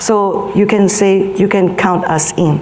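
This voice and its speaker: With noticeable background noise and audible room echo, a woman speaks at a very slow pace and a medium pitch. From Vietnam. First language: Vietnamese. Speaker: health advocacy organization leader. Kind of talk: conference speech. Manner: halting, many fillers.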